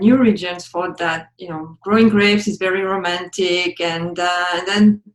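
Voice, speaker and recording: A woman speaks in a French accent at a moderate pace. Her medium-pitched voice has fairly even intonation. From France, Champagne region. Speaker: wine educator. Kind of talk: interview.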